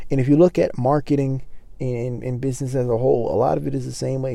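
A man speaks at a medium pitch with a dark, mellow tone. His pace is fairly quick. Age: 20s. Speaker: podcast host. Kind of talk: casual solo monologue. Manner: casual with many fillers.

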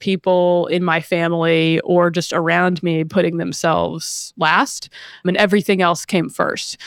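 A woman's unremarkable speaking voice, fairly low in pitch, with an American accent and a dry, close sound free of echo. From US South, small-town North Carolina. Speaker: PR professional. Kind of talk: casual interview.

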